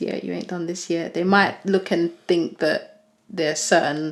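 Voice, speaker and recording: In a British accent, a woman speaks with fairly even intonation. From UK. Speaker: podcast co-host. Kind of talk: casual chat.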